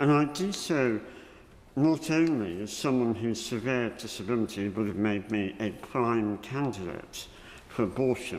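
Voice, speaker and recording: A man with a British accent talks fairly slowly at medium pitch, his intonation lively. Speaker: member of the House of Lords. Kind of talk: parliamentary speech. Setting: parliamentary chamber. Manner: slower than usual; formal.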